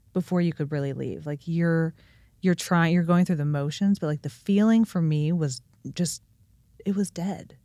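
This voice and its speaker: A woman's dark, mellow voice, with ordinary pitch variation, comes through dry and close with no echo. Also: fairly low pitch for a woman, moderate pace, very clean recording, silent background. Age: 30s. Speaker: businesswoman and amateur pickleball player. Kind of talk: casual chat.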